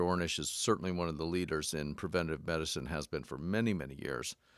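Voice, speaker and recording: On a very clean recording with a silent background and dry, close sound with no echo, a man speaks at a very deep, low pitch with ordinary pitch variation. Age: 50s. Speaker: doctor and podcast co-host. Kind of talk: casual interview.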